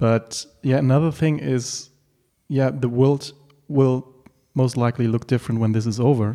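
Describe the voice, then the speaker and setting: The voice has a dark, mellow tone and a German accent. Its intonation is fairly even. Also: man. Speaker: podcast host and art director. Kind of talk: casual interview. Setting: home apartment.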